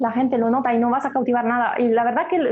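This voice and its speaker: A woman speaks with an Italian accent. Her pitch sits fairly high. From Italy, Milan. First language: Italian (speaking Spanish). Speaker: singer and DJ. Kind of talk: interview.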